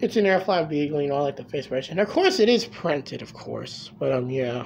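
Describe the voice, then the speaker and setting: Light background noise sits beneath speech delivered at a fairly quick pace. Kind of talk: casual unboxing commentary. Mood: excited, amused. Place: home room. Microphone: phone near.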